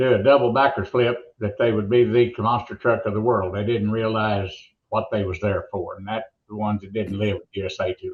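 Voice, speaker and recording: A plain, everyday voice moves at a fairly quick pace with fairly even intonation. Its loudness swings a lot. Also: man, medium pitch for a man. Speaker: monster truck announcer. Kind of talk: interview answer.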